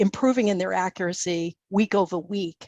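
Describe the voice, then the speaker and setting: Speaking with a Boston accent, a woman keeps to a fairly slow pace. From Boston, US. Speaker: professor. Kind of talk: conference presentation. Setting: webinar.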